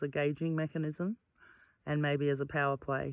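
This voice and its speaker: Recorded very cleanly against a silent background with a dry, close sound and no echo, a woman with a very deep, low pitch speaks loudly at a moderate pace. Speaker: vlogger on personal mental health. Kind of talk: reflective monologue. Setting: outdoors. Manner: hesitant, many fillers.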